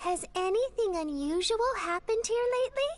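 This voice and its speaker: Pitched extremely high, a woman puts on a character voice. Her pitch swings very widely. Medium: video game. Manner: dreamy, offbeat.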